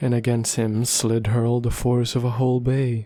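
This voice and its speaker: Soft-spoken, a man talks at a medium pitch and a fairly slow pace. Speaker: ASMR roleplay performer. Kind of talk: bedtime story reading.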